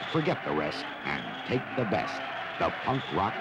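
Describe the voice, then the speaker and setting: Noticeable background noise sits behind the recording. The man's delivery moves at a moderate pace. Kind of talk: movie trailer.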